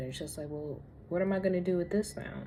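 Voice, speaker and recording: Somewhat breathy and dark, mellow in tone, a woman speaks with fairly even intonation amid audible room echo. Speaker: spiritual lifestyle vlogger. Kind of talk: casual vlog monologue. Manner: slow.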